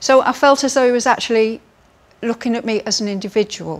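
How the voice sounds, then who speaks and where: A fairly quick pace with an English accent. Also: woman. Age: 60s. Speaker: cosmetic surgery patient. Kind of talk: testimony.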